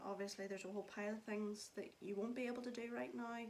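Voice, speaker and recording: A woman speaks at a fairly quick pace. Noticeable background noise runs beneath her voice. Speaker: vlogger. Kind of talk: casual talk to camera. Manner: monotone.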